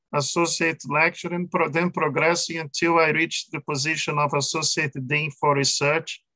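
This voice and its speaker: A man speaks with a non-native accent. His tone is bright and sharp. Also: dry, close sound with no echo. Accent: foreign. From Brazil. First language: Portuguese. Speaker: law professor. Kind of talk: interview. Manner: halting, many fillers.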